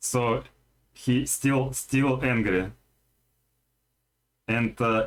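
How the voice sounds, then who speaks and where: Pausing long and often, a man talks at a very slow pace in a medium pitch with fairly even intonation. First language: Russian. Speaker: video game streamer. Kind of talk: live gameplay stream chat. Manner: halting, many fillers.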